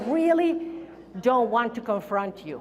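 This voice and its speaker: High-pitched woman with a Spanish accent, amid noticeable background noise and audible room echo. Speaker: keynote speaker. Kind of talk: keynote speech. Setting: stage with audience.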